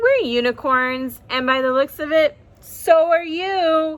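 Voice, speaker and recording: A put-on character voice, raised and projected, at a fairly slow pace. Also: woman, extremely high pitch for a woman. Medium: read story.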